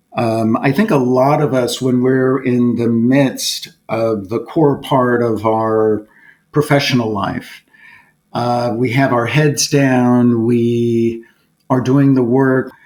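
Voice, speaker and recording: Very slow pace from a man at medium pitch, with fairly even intonation and very even loudness. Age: 60s. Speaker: corporate board director. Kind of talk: podcast interview. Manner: reflective, with frequent hesitations.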